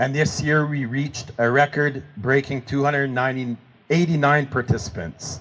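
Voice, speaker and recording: Speaking at a moderate pace with a French accent, the man has a fairly high pitch and fairly even intonation. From Manitoba, Canada. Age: 50s. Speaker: hockey pool organizer, former corrections officer. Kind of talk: memorial speech.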